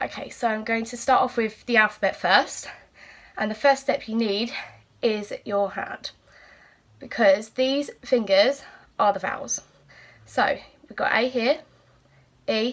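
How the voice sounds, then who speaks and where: A woman with an English accent speaks at a fairly high pitch. Her pace is fairly slow, with long, frequent pauses. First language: British Sign Language. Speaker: teacher. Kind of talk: tutorial.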